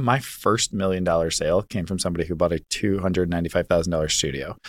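A man speaks at a very fast pace with an American accent. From US, military family, Virginia. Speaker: real estate agent. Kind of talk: casual chat.

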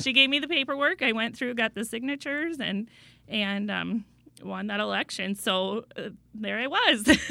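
A woman's normal speaking voice with an American accent, fairly high-pitched, at a moderate pace with ordinary pitch variation. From Iowa. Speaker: school board president. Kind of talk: interview. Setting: studio.

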